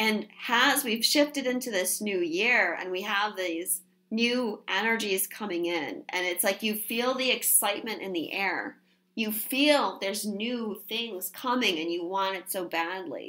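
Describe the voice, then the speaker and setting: A woman speaks fairly slowly in a fairly high voice with a bright, sharp tone. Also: ordinary pitch variation. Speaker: tarot reader. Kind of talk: tarot reading monologue.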